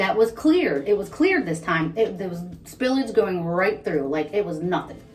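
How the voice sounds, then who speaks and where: Music plays in the background as a speaker with an American accent makes very wide pitch swings. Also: woman. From Ohio, US. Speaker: vlogger. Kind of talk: casual chat. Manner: fast.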